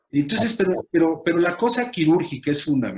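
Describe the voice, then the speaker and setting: Vocal fry marks a man's voice as he talks at a moderate pace. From Mexico. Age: 60s. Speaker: lawyer and media commentator. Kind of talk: casual chat. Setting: video call. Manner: halting.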